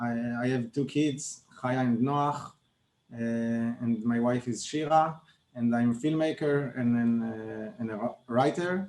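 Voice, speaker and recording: A man with a non-native accent speaks fairly slowly at medium pitch. His pitch varies in an ordinary way. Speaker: film director. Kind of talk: interview. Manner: halting.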